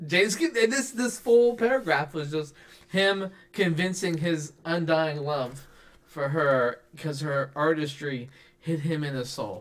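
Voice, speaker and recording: A man with a normal speaking voice talks at a fairly slow pace. His pitch is fairly high and his intonation lively. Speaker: podcast host. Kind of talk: casual chat. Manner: joking, playful.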